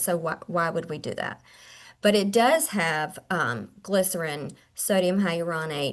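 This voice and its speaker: This is a woman with an ordinary speaking voice at medium pitch. Her pitch varies in an ordinary way, over a quiet background. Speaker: skincare clinician and trainer. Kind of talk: webinar product presentation. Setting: video call webinar.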